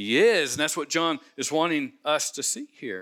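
In a very clean recording with a silent background, a man with an American accent speaks very slowly at a fairly high pitch, his bright, sharp tone showing vocal fry and very wide pitch swings. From US Midwest, Cincinnati. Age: 60s. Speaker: pastor. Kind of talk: sermon.

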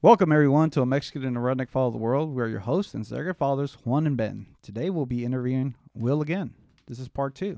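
A man talks at a very fast pace with a medium pitch and ordinary pitch variation. His tone is dark and mellow. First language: Spanish. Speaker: podcast host. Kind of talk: casual interview chat.

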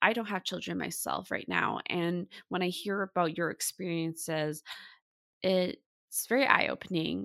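In a Canadian accent, a woman with an unremarkable speaking voice talks at a moderate pace with fairly low pitch and ordinary pitch variation, on a very clean recording with a silent background and a dry, close sound free of echo. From Vancouver, Canada. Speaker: mental health podcast host, therapist. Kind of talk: podcast interview.

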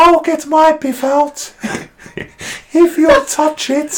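At a very slow pace, a man talks. He puts on a character voice pitched extremely high. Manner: put-on, comedic.

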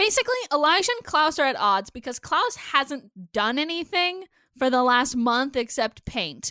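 A woman speaks in a raised, projected voice, high-pitched with a bright, sharp tone. Her delivery is animated, the sound dry and close with no echo. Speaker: podcast co-host. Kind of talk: casual chat, episode recap podcast. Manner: animated, talkative, interrupts.

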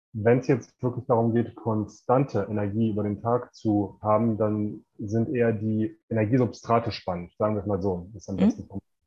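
Hardly pausing, a man speaks in a somewhat breathy, fairly low voice with fairly even intonation. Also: moderate pace. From Ruhr area, Germany (Bochum). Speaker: performance coach and author. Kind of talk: interview. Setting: remote call from Mexico.

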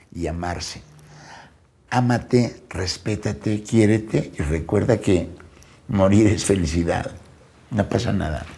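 A man with a fairly low pitch speaks very slowly, with long, frequent pauses and ordinary pitch variation. His tone is dark and mellow, and somewhat breathy. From Mexico City. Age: 60s. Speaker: comedian. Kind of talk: casual chat. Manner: animated.

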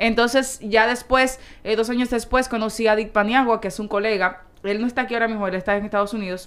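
Speaking with a Dominican accent, a woman with a fairly high pitch races at a very fast pace in monotone, flat intonation. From Dominican Republic. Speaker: sports journalist. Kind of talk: casual chat.

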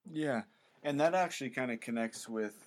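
With ordinary pitch variation, a man is heard on a very clean recording with a silent background. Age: 20s. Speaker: founder of an outdoor faith video channel. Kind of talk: casual interview chat.

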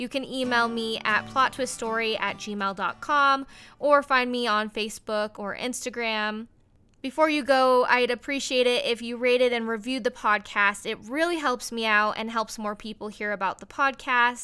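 An American woman with an American accent speaks at a moderate pace in a fairly high voice. Her intonation is fairly even, and she has an unremarkable speaking voice. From Colorado. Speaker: podcast host, former reporter. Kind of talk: casual chat. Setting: casual recording over wine.

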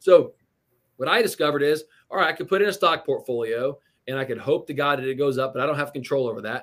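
A fairly high-pitched man's voice with an American accent, a very fast pace and ordinary pitch variation, on a very clean recording with a silent background. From Indiana, US Midwest. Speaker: real estate investor. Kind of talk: interview.

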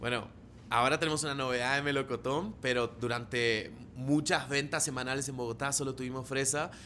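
This man has a bright, sharp, animated tone and a medium pitch. He talks at a fairly quick pace with an Argentine accent. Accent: Argentine Spanish (voseo). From Argentina. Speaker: marketing director. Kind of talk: casual interview.

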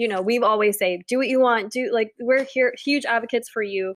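In a dry, close recording with no echo, a woman has an ordinary speaking voice, fairly high in pitch with ordinary variation. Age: 30s. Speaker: wedding podcast co-host. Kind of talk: casual chat.

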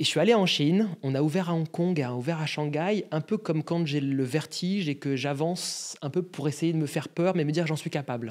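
A normal speaking voice at a fairly quick pace, with ordinary pitch variation and hardly any pauses. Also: man, fairly high pitch for a man. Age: 30s. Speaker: agency CEO. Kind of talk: interview.

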